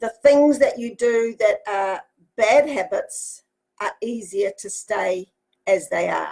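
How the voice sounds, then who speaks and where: A woman at a very slow pace, with big swings in loudness. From New Zealand. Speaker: motivational speaker and life coach. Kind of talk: motivational talk. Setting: Facebook live broadcast from home office. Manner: animated.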